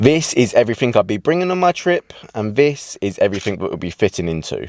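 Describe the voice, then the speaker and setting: A man with a British accent talks at a very fast pace in an animated tone, his medium pitch moving in very wide swings. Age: young. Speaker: travel vlogger. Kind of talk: vlog narration. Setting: outdoors.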